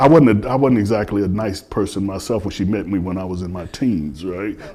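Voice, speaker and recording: Audible room echo surrounds a man with a dark, mellow tone who speaks at a moderate pace with ordinary pitch variation. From Chicago. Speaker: philosopher and former chef. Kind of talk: interview in front of audience. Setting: spiritual center hall with audience.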